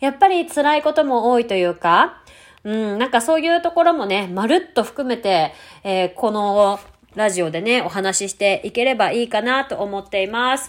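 Her pitch sits fairly high and swings very widely as this woman talks at a moderate pace, over a very clean recording with a silent background. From Japan, Tokyo. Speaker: podcast host and ballet studio owner. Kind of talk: casual monologue.

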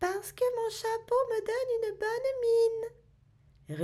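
This put-on character voice sits at an extremely high pitch and moves at a fairly slow pace, its intonation monotone and flat. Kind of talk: storybook character voice. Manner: grumpy, bluntly answering.

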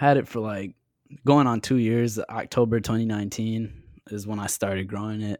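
A man with a plain, everyday voice speaks at a moderate pace and a fairly low pitch. His intonation is fairly even, and the recording is very clean with a silent background. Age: 20s. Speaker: podcaster and videographer. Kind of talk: casual chat.

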